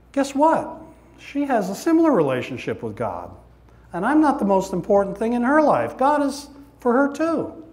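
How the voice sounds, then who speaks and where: Amid audible room echo, a man with an extremely high pitch for a man talks at a moderate pace with lively intonation. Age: 60s. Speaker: recovery speaker. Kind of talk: testimony. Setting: church with audience. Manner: animated.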